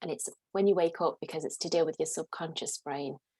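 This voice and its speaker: An Irish accent in a dry, close recording with no echo. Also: woman. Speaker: career coach. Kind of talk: casual chat.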